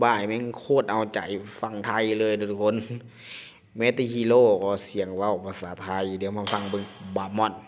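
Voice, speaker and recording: An excited man with a fairly low voice talks over noticeable background noise. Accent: Isan. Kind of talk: casual gaming commentary. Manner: excited, informal.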